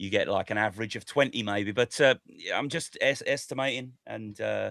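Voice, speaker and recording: A man with a British accent talks at a moderate pace, the sound dry and close with no echo. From Britain. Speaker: stock market podcast host. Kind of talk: casual chat.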